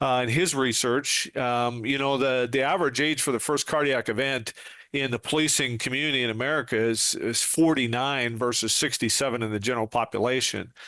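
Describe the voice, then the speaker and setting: A man's bright, sharp voice at medium pitch, fairly quick in pace and fairly even in intonation. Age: 60s. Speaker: retired police sergeant and trainer. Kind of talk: podcast interview.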